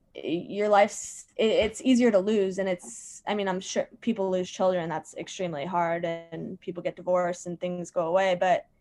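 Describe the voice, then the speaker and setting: Moderately paced speech in an American accent with fairly even intonation, music in the background. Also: woman. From Virginia. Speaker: comedian. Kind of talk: casual chat.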